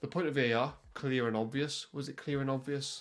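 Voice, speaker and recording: With music playing in the background, a man with a Welsh accent talks at a moderate pace in a medium pitch. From Wales. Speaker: football commentator youtuber. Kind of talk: unscripted podcast monologue. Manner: occasional stutters and fillers; animated.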